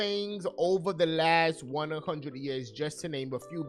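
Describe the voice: Fairly slow speech in a New York accent, with music in the background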